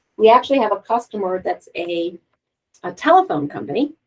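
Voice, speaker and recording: Using an ordinary speaking voice, a woman talks at a medium pitch with lively intonation. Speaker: software trainer. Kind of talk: tutorial.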